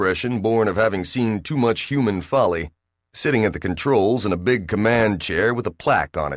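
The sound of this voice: Against a quiet background, this is an unforced reading voice with ordinary pitch variation.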